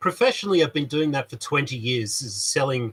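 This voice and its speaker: A loud man's voice, bright and sharp in tone, with a dry, close sound and no echo. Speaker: YouTuber and maker, hi-fi salesman. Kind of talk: casual live stream chat. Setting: live stream in a shed. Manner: halting, many fillers.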